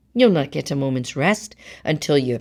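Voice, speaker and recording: Using a put-on character voice, a woman speaks at a moderate pace in a raspy, very deep, low pitch. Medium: read story. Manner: gentle, coaxing.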